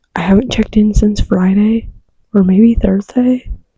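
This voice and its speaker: Quiet and somewhat breathy, a woman whispers. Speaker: book vlogger. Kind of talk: casual vlog chat. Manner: whispering quietly.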